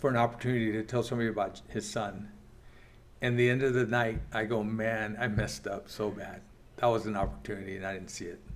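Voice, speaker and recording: A man's fairly low, monotone, flat delivery at a very fast pace, with audible room echo. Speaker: church Bible class teacher. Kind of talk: Bible class teaching. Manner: halting.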